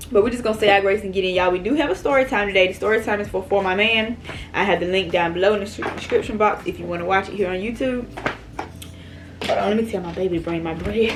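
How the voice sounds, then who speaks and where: Amid noticeable background noise, a woman talks at a very fast pace. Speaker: mukbang YouTuber. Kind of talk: casual chat while eating. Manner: loud.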